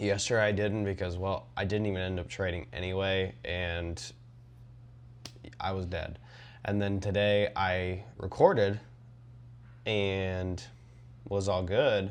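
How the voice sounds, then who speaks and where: A man with a very deep, low pitch speaks at a fairly slow pace with ordinary pitch variation and long, frequent pauses. The room echo is audible. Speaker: trading vlogger. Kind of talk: casual vlog monologue. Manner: rambling with many fillers.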